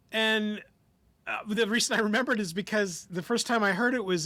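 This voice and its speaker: A man with a high voice and a bright, sharp tone speaks in a raised, projected voice with ordinary pitch variation. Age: 50s. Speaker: podcast co-host. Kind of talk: casual chat.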